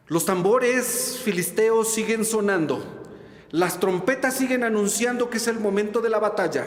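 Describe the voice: Plain reading aloud fills this recording.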